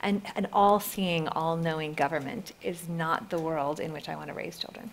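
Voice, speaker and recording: With noticeable background noise, a woman with an American accent speaks at a moderate pace in a fairly low pitch with ordinary pitch variation. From Northern Ireland, Belfast. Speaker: privacy advocacy group head. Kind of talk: panel debate.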